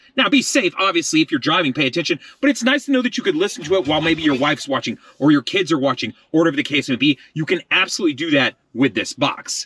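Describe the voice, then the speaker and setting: A man talks very fast in a fairly high, bright, sharp voice with lively intonation. The sound is dry and close, with no echo. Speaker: car tech reviewer. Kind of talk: product review and tutorial.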